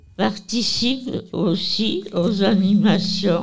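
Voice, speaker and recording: A woman's very slow, somewhat breathy voice with ordinary pitch variation. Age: 80s+. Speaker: nursing home resident. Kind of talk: interview. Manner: halting.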